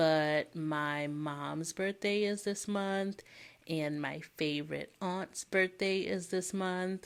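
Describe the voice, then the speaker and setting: A woman speaks quietly and very slowly in a fairly low voice, her intonation fairly even. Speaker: planner hobby vlogger. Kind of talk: casual chat. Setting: home at night, children asleep. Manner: quiet, held-back volume.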